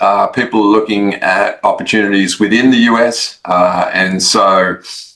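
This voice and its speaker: A man's medium-pitched voice in an Australian accent, bright and sharp in tone, at a fairly slow pace. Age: 50s. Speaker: investment firm founder. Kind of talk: interview. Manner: hesitant, many fillers.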